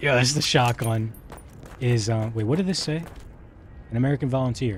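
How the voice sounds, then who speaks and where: A soft-spoken man with ordinary pitch variation. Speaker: gaming streamer. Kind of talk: live gameplay commentary. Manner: quiet, doesn't project.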